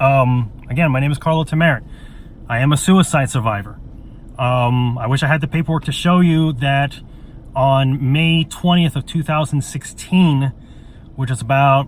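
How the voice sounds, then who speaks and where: Over noticeable background noise, a man speaks at a fairly high pitch. His pace is moderate and his intonation fairly even. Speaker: vlogger sharing personal story. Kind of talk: personal testimony monologue. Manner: halting, many fillers.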